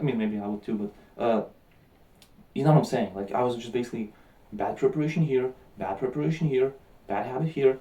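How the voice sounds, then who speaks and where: A mumbling man at a medium pitch talks at a very fast pace with lively intonation, broken by long, frequent pauses. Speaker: vlogger. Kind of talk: casual vlog monologue. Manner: animated.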